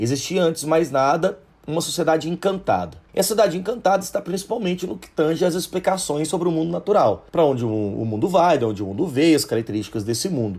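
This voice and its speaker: A man with vocal fry talks very fast at a fairly high pitch, his voice taking very wide pitch swings. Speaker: sociology teacher. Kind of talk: educational podcast lecture.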